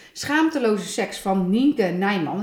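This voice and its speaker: Noticeable background noise runs behind a woman whose medium-pitched voice has lively intonation. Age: 30s. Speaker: podcast co-host. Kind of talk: casual chat.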